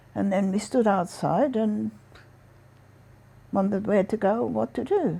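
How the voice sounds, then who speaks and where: This woman has a dark, mellow tone with vocal fry, a medium pitch, lively intonation, a fairly slow pace and long, frequent pauses. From Vienna, Austria. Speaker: Holocaust survivor. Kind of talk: interview answer.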